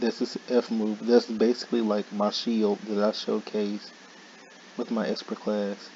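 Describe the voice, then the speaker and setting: Over noticeable background noise, a man speaks fairly slowly in a fairly low, monotone voice with flat intonation. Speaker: gaming YouTuber. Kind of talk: casual gaming commentary.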